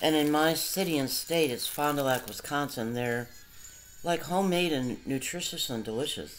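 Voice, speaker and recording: With noticeable background noise behind her, a woman speaks at a moderate pace in a very deep, low pitch with ordinary pitch variation. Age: 60s. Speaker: vlogger. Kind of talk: casual monologue. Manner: rambling, halting.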